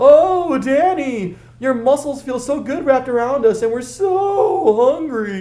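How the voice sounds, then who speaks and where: A put-on character voice from a man in falsetto, extremely high in pitch, at a fairly slow pace. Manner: high exaggerated falsetto, teasing.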